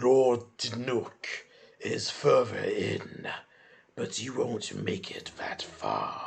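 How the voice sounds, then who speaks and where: A man puts on a growling, menacing character voice. He talks at a very slow pace with long, frequent pauses. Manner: menacing, taunting.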